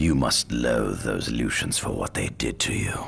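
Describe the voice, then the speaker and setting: Putting on a character voice, a man talks at a moderate pace in a very deep, low pitch, with clear background noise. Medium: video game. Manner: smooth, silky, persuasive.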